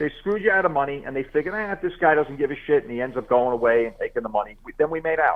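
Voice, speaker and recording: Talking very fast with hardly any pauses, a man with a fairly high pitch sounds animated, his intonation lively. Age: 60s. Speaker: auto body shop owner. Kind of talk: casual chat.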